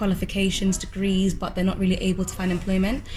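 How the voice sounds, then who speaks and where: The speaker has a London accent. Noticeable background noise runs under the voice. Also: woman. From London, England. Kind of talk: interview answer.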